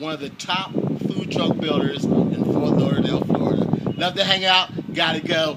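Fairly slow speech with an American accent over loud background noise. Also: man. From New Jersey (Trenton); New Jersey. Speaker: oil dealer and food truck owner. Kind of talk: customer testimonial. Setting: inside food truck. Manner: casual, animated. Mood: relaxed, friendly.

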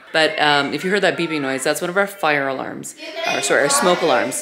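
Against noticeable background noise, a woman speaks at a fairly quick pace. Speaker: family vlogger. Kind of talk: casual vlog chat. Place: home room. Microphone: phone near.

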